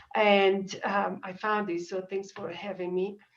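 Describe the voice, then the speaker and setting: This woman talks at a medium pitch with an Italian accent. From Italy, Dolomites. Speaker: small business owner. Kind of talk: public meeting request. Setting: video call. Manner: halting.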